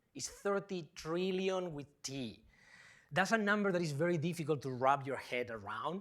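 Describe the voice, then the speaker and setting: A man speaks with a Spanish accent, his pitch fairly high and his pace fairly quick, in an animated tone with lively intonation. The recording is very clean, with a silent background. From Spain. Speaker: professor. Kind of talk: public lecture.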